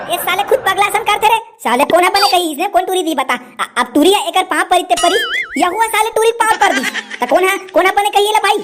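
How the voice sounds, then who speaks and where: This is a cartoonish character voice. It moves at a very fast pace. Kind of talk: comic overacting. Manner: crude, mocking.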